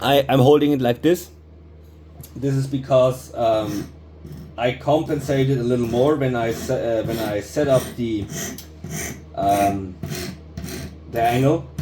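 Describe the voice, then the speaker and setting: A man of medium pitch with lively intonation, at a fairly slow pace with long, frequent pauses, over noticeable background noise. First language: non-English. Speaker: knifemaker. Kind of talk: tutorial. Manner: halting; improvised.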